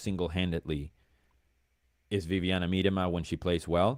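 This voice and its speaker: A very deep, low-pitched male voice. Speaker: football fan guest. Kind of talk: casual chat.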